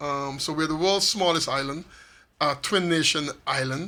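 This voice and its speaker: A man speaks at a fairly high pitch with a St. Maarten accent. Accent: Caribbean (St. Maarten). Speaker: author of a constitution translation book. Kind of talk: radio interview.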